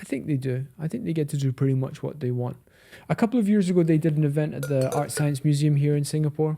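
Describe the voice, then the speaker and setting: A man's very fast, somewhat breathy voice in a Scottish accent, fairly high in pitch with ordinary pitch variation and a dark, mellow tone. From Scotland, Edinburgh. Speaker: watch dealer, podcast co-host. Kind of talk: casual chat.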